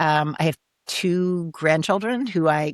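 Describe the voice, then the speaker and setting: An unremarkable speaking voice with an American accent talks at a fairly slow pace, on a very clean recording with a silent background and a dry, close sound with no echo. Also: woman. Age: 60s. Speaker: executive coach and author. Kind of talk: interview conversation.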